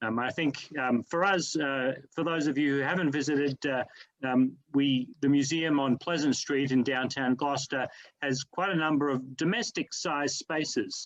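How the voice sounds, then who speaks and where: In a dry, close sound with no echo, a man with an Australian accent speaks at a moderate pace and a fairly high pitch with ordinary pitch variation. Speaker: museum director. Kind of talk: panel discussion. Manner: halting, many fillers.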